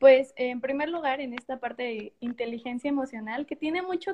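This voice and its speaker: Her voice is high in pitch, with ordinary variation. The woman talks at a moderate pace. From Mexico, Morelia. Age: 20s. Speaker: psychologist. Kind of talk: live-streamed interview chat.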